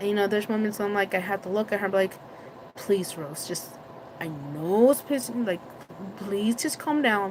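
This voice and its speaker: A woman's medium-pitched voice with a Spanish accent, lively intonation, a moderate pace, long and frequent pauses, and noticeable background noise. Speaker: vlogger. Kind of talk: casual live stream chat. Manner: loud; halting.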